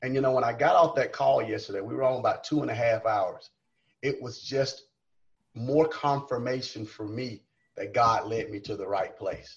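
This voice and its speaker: A man with a Southern US accent speaks at a medium pitch and moderate pace. His voice is somewhat breathy, with ordinary pitch variation. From South Carolina. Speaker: college coach. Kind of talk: casual chat. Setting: video call.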